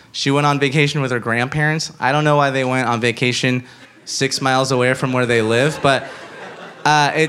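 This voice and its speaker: Noticeable background noise runs under the speech. The speaker talks at a moderate pace with an American accent. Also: man. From Los Angeles (Inglewood), Cuban parents. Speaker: podcast host and storyteller. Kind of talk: live storytelling; live show emceeing. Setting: stage with live audience.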